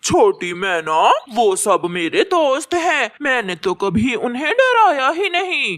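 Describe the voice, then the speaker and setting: A cartoonish character voice with a high pitch and very wide pitch swings moves at a very slow pace with hardly any pauses. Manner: boastful.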